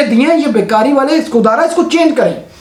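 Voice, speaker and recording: An extremely high-pitched, animated man's voice amid noticeable background noise and audible room echo. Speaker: teacher and exam marker. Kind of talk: opinion vlog, appeal to authorities. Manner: animated, impassioned.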